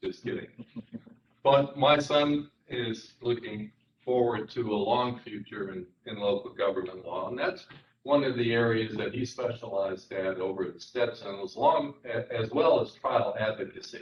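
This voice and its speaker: At a moderate pace, a man talks in an ordinary speaking voice at medium pitch with ordinary pitch variation. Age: 60s. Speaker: attorney. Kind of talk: job interview before a city council. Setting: council chambers.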